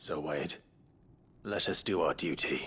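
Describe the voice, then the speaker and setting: Using a put-on character voice, a man speaks in a raspy tone at a fairly slow pace. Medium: video game. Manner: measured, formal.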